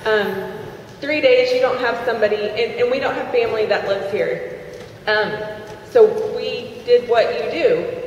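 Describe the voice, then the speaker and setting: A woman speaks at a moderate pace. Room echo is audible, along with light background noise. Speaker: network marketing distributor. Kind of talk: testimony. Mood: earnest, heartfelt. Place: hall.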